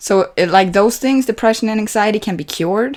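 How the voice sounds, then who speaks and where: A woman speaks with a non-native accent. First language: not English. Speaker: movie reaction youtuber. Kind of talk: casual reaction commentary. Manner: halting, many fillers and restarts.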